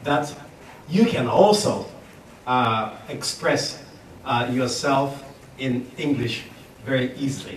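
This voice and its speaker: Audible room echo and noticeable background noise surround a man with a fairly high pitch. He speaks at a very slow pace with ordinary pitch variation. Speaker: business consultant and speaker. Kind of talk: lecture. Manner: loud.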